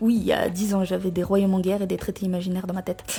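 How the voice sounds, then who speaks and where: Dark and mellow in tone, the woman's voice also comes out somewhat breathy. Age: 20s. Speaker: YouTuber sharing personal experience. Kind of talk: personal testimony. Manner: casual, informal.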